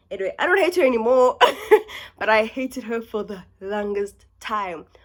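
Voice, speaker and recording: A woman talks with a South African accent at a fairly high pitch. The recording is very clean, with a silent background. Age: 20s. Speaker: university student. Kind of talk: casual talk to camera.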